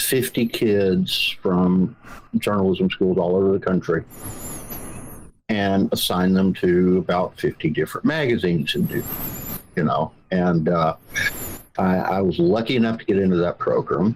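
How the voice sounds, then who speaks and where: A man talks in a strong Southern US accent. His pace is fairly slow, with long, frequent pauses. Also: very even loudness. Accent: thick Southern. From Georgia, US South (rural, Ellijay). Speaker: magazine founder, journalist. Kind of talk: interview. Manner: hesitant, many fillers.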